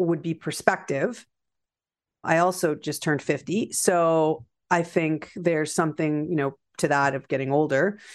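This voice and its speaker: Speaking at a fairly slow pace, a woman with a Canadian accent has a normal speaking voice and a fairly low pitch. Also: quiet background. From Canada. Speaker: feng shui teacher. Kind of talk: interview.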